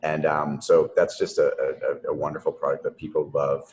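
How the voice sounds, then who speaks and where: With a Boston accent, a man speaks over noticeable background noise. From Boston, US. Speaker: company founder. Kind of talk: interview. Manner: halting, many repeated words.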